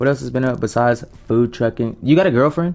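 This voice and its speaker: With an American accent, a man in an ordinary speaking voice talks at a fairly quick pace with ordinary pitch variation. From US. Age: 20s. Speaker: podcast host. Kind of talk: casual chat.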